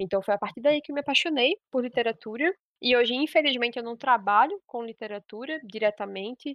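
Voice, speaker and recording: Her pitch is high and her pace fairly quick, with ordinary pitch variation. This woman's loudness swings widely. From Pernambuco, Brazil. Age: 20s. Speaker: podcast host, literature student. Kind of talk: solo monologue podcast. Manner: fast.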